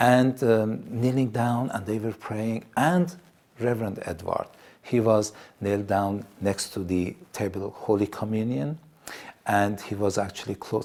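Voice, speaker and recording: A man with an Iranian accent has a fairly low pitch. He speaks at a fairly slow pace with ordinary pitch variation. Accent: Iranian Assyrian accent in English. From Iran, Assyrian community. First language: Assyrian. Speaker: TV presenter. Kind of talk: testimony. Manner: halting.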